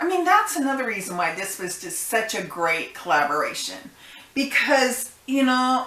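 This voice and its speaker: With an American accent, a woman at a high pitch projects a raised voice through very wide pitch swings at a moderate pace, with noticeable background noise. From United States. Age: old. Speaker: YouTube reaction host. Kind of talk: casual reaction commentary to camera.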